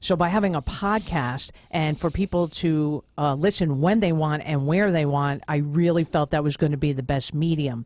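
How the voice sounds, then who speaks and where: This woman's pitch is very deep and low, with ordinary variation and very even loudness. She keeps a moderate pace and hardly pauses. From New York (Brooklyn). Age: 50s. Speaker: podcast host and author. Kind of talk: radio interview.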